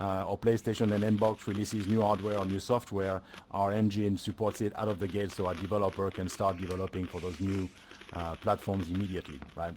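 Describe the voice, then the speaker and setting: A man with a French accent speaks at a fairly quick pace in a fairly low, monotone voice with flat intonation. There is noticeable background noise. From France. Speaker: solution engineer presenting at a tech event. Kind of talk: presentation talk. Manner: hesitant with many fillers.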